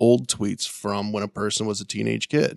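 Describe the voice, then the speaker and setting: A man with an ordinary speaking voice and a fairly low pitch talks at a moderate pace. The sound is dry and close, with no echo. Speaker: radio co-host. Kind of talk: casual chat.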